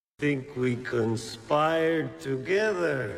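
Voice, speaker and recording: Using a put-on character voice at a medium pitch, a man swings his pitch very widely while speaking at a very slow pace amid audible echo. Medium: short film. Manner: cool, challenging.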